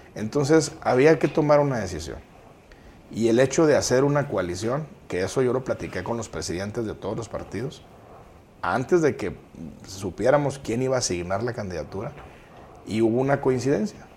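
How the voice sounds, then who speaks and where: Speaking at a moderate pace, a man uses a medium pitch and lively intonation. He leaves long, frequent pauses. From Guadalupe, Nuevo León, Mexico. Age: 40s. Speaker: mayoral candidate. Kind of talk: interview.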